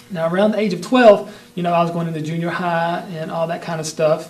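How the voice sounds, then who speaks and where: In a Southern US accent, a man talks fairly quickly in a monotone, flat delivery, with audible room echo and noticeable background noise. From US South, North Carolina. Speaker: martial arts instructor. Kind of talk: personal history monologue. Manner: casual with many fillers.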